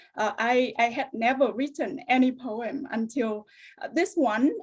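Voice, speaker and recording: With a high voice and normal pitch movement, a woman talks rather slowly. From Vietnam. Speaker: English teacher. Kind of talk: webinar presentation.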